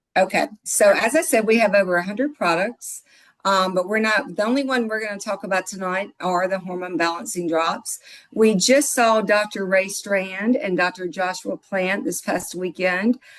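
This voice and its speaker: A woman with a Mississippi accent and ordinary pitch variation. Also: medium pitch for a woman, moderate pace. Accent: Southern US (Mississippi). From US South, Mississippi. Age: 60s. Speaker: product distributor, financial office manager. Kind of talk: sales pitch. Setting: video call. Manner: animated.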